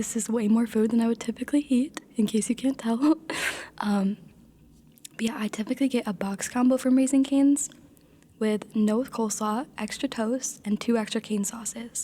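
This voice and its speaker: A woman talks at a fairly quick pace in a fairly high pitch. It is a plain, everyday voice. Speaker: content creator. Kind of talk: ASMR mukbang, casual talk to camera while eating. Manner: soft-spoken, relaxed.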